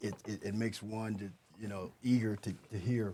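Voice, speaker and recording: In an unremarkable speaking voice, a man talks at a moderate pace and fairly low pitch with fairly even intonation. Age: 60s. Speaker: former death row inmate, speaker. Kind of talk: interview conversation.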